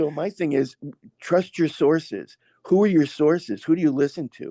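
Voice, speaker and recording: A man with an American accent speaks at a moderate pace in a fairly high, dark, mellow voice with ordinary pitch variation. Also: dry, close sound with no echo. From US, Massachusetts (Berkshires). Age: 60s. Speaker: masseur and former professional dancer. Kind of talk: podcast interview. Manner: halting, self-interrupting.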